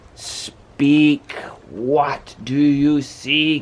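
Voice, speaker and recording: A man puts on a character voice, pitched fairly high and delivered in a monotone, flat way. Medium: read story. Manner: grand, solemn.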